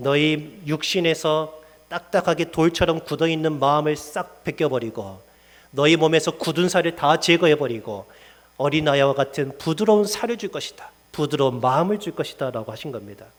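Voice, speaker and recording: A man talks at a moderate pace with a fairly high pitch and ordinary pitch variation. His is a plain, everyday voice. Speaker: pastor. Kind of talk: sermon.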